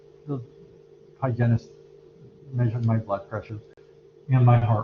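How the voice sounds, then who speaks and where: This man's voice sits at a medium pitch and is somewhat breathy. His intonation stays fairly even. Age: 60s. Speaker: anatomy and physiology instructor. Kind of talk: lecture. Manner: halting, many fillers.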